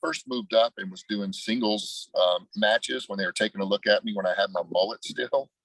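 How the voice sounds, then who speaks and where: A man with an American accent, fairly quick pace, hardly any pauses, and a dry, close sound with no echo. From Ohio. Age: 50s. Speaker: former pro wrestler and trainer. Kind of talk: interview. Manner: casual.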